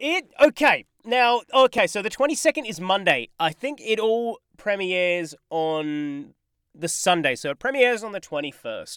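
At a moderate pace, someone speaks with an Australian accent on a very clean recording with a silent background. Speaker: podcast co-host. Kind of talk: casual chat. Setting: home recording booth.

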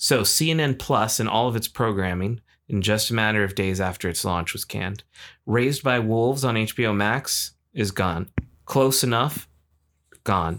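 A normal speaking voice from a man at medium pitch, ordinary in pitch variation and fairly slow, on a very clean recording with a silent background. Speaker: podcast co-host. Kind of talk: casual chat between friends, movie debate.

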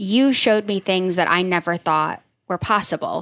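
A woman speaks in a plain, everyday voice at medium pitch and a moderate pace, on a very clean recording with a silent background. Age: 30s. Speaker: nurse practitioner and health coach. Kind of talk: casual chat.

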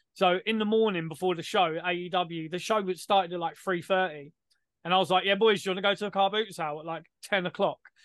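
Speaking at a very fast pace, a man has a high pitch and a London accent. His intonation is fairly even. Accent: British, London-style. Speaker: podcast co-host. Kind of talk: casual chat.

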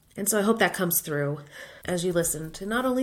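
Speaking in a plain, everyday voice with an American accent, a woman keeps a fairly low pitch and ordinary pitch variation. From Florida. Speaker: podcast host, former teacher turned UX designer. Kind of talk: solo podcast monologue.

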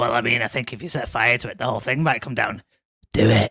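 A man puts on a character voice that is raspy and medium in pitch. He talks at a very fast pace with ordinary pitch variation. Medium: actual play.

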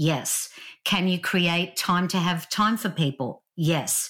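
This woman has a strong Australian accent. Her recording is very clean, with a silent background. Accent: Australian, still strong. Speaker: author and leadership speaker. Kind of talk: casual interview chat.

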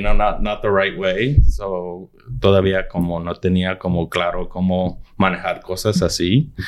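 Noticeable background noise accompanies a man who talks very slowly, his pitch varying in an ordinary way. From Arizona, US (Nogales and Tucson, border region). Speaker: film and TV content executive. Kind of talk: interview. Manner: halting, many repetitions. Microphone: far from the mic at first.

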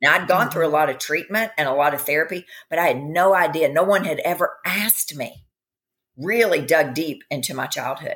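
A woman speaks in a normal speaking voice at a fairly quick pace, her pitch fairly low with ordinary variation. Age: 50s. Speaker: functional medicine practitioner. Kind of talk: interview.

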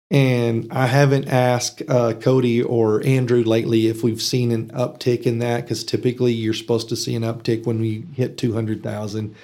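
With a West Texas accent, a man speaks at a moderate pace and medium pitch in a dark, mellow tone, his intonation monotone and flat, with hardly any pauses. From Texas Panhandle, from age ten (born in Arkansas). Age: 50s. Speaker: economic development executive. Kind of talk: casual interview. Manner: hesitant with fillers.

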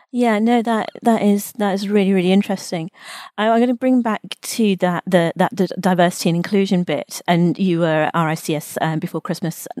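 A woman's ordinary speaking voice, medium in pitch, with ordinary pitch variation and a fairly quick pace. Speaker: podcast host. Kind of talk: interview, professional conversation.

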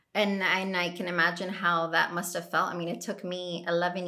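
In a fairly low pitch, a woman talks at a moderate pace with monotone, flat intonation and audible room echo. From Colombia. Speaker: podcast guest. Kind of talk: casual chat.

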